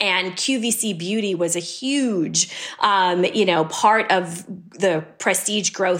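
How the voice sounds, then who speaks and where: A woman's ordinary speaking voice with an American accent, medium in pitch, with ordinary pitch variation. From US, New York City. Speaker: beauty company CEO. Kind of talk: interview.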